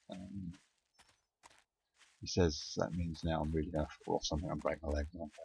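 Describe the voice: A man mumbles at a moderate pace in an extremely low pitch, with vocal fry, a husky, rough edge, a slightly mellow tone and fairly even intonation.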